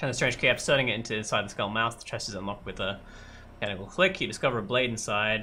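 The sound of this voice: In an unforced reading voice, the speaker keeps a fairly even intonation.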